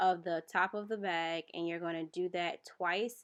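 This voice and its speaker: Speaking at a fairly slow pace, a woman uses an ordinary speaking voice. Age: 20s. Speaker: hair business owner. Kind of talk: casual tutorial voiceover.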